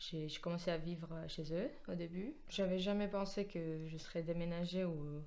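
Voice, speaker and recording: Speaking at a moderate pace, a woman with a Georgian accent has a fairly low pitch, with audible room echo. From Georgia, near Kutaisi. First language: Georgian (speaking French). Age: 20s. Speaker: musician, pianist. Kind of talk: interview. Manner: hesitant, many fillers.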